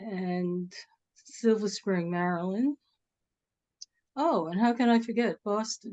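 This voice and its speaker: A woman with a New York accent, medium pitch, and ordinary pitch variation, her tone dark and mellow, her pace very slow with long, frequent pauses, the sound dry and close with no echo. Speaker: moderator of literary conversation series. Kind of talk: casual chat. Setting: video call.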